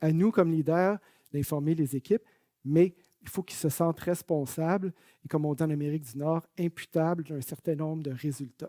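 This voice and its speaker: Man with a Quebec accent, fairly high-pitched in a dark, mellow tone, fairly even intonation, big swings in loudness and a moderate pace, in a dry, close sound with no echo. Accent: Canadian French (Québécois). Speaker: management consultant. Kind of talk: webinar presentation. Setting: online webinar.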